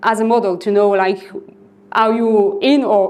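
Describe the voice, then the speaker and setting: A woman speaks in a French accent with a fairly high pitch and lively intonation, at a fairly slow pace. Noticeable background noise can be heard. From northern France, Lille. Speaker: software developer. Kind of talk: conference talk. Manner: halting.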